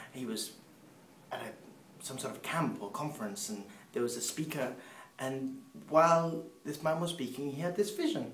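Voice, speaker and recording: Over noticeable background noise and audible room echo, a man speaks at a fairly high pitch and a moderate pace. His intonation is lively, his loudness swings widely, and he leaves long, frequent pauses. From Peru, English parents. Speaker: missionary speaker. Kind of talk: personal testimony.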